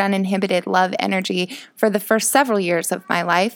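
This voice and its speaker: A woman with an American accent and a medium pitch, at a fairly quick pace, in a very clean recording with a silent background. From rural Illinois, US Midwest. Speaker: podcaster. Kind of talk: casual monologue. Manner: rambling with fillers.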